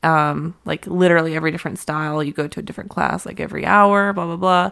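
A woman with an American accent at a fairly quick pace and fairly low pitch, on a very clean recording with a silent background. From US, Pittsburgh. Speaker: touring violinist and singer-songwriter. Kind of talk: casual interview chat.

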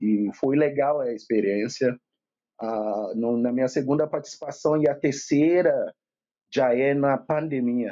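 A man with an ordinary speaking voice talks at a fairly slow pace, with ordinary pitch variation. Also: fairly high pitch for a man. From Nigeria, Lagos. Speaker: chef and sociologist. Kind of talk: casual chat.

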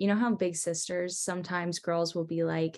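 A woman speaks at a fairly quick pace in a normal speaking voice with a fairly low pitch. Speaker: college student. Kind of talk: casual chat.

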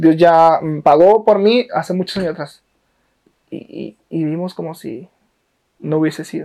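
A man with a high pitch and a dark, mellow tone speaks at a fairly slow pace with ordinary pitch variation and long, frequent pauses. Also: big swings in loudness. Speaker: podcast host. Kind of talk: casual chat. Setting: in a home.

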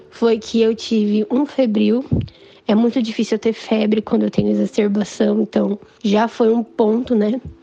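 A woman's fairly high, monotone voice with flat intonation, very even loudness, a moderate pace and music in the background. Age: 20s. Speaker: patient with cystic fibrosis. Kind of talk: personal testimony. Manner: casual.

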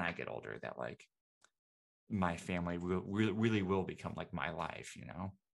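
With a West Coast accent, this man has a very deep, low voice. His pitch varies in an ordinary way. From Seattle, US Pacific Northwest. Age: 20s. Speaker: video producer. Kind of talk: casual chat.

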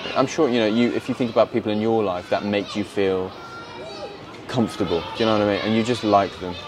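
A man's fairly low voice at a very fast pace, with fairly even intonation and crowd noise in the background. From England, countryside. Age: 20s. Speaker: poet and filmmaker. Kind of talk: casual interview. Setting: outdoors in a park.

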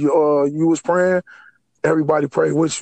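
Very fast, monotone male voice at a fairly high pitch, dry and close with no echo. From Chicago area, Harvey, Illinois. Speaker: formerly incarcerated man. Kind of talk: interview.

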